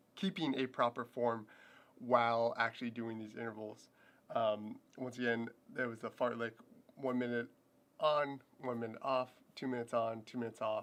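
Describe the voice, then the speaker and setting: Delivered at a moderate pace with fairly even intonation, the speech has long, frequent pauses. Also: man. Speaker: fitness and running vlogger. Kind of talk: livestream training recap. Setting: home livestream with camera. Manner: casual, filler-heavy.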